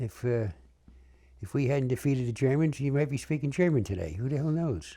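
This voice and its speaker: A man's somewhat breathy, dark and mellow voice at medium pitch, with a New York accent, lively intonation and a fairly quick pace. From New York City (Bronx). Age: 90s. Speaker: war veteran. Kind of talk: oral history interview. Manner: halting, with repetitions.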